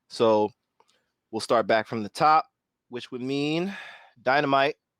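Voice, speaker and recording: An ordinary speaking voice with an American accent moves at a fairly slow pace, with big swings in loudness, ordinary pitch variation, and a dry, close sound with no echo. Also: man, medium pitch for a man, very clean recording, silent background. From northern California. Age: 30s. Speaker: panel discussion host. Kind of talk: roundtable discussion.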